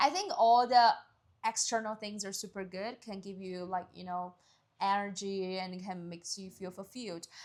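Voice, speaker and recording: A woman speaks in a Chinese accent at a moderate pace. Her loudness swings widely. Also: medium pitch for a woman, fairly even intonation. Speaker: podcast co-host. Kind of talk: casual chat.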